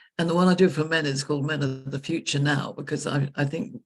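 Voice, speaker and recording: Vocal fry runs through this woman's very deep, low voice with an English accent. She speaks at a moderate pace with ordinary pitch variation. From England. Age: 70s. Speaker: leadership consultant. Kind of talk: interview conversation.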